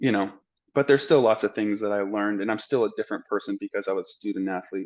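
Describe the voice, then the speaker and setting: Very fast delivery with ordinary pitch variation over a quiet background. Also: man, fairly low pitch for a man. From Arizona, Scottsdale. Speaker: medical student. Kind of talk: interview. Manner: casual.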